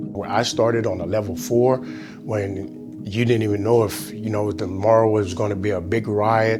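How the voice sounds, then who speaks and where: With music in the background, a man with a fairly low pitch speaks at a moderate pace with lively intonation and hardly any pauses. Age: 50s. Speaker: incarcerated program coordinator. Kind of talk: documentary interview answer. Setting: prison. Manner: passionate.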